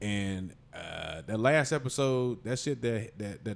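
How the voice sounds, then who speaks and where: Over a very clean recording with a silent background, a man speaks at a medium pitch with ordinary pitch variation in a normal speaking voice. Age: 40s. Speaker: comedian. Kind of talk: casual chat.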